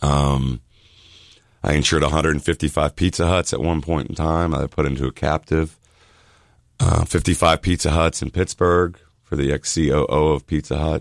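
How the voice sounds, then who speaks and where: A man with an American accent speaks in a very deep, low voice with vocal fry and fairly even intonation, the sound dry and close with no echo. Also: moderate pace. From Miami, Florida. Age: 40s. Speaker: insurance agent. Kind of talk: radio interview. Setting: radio studio.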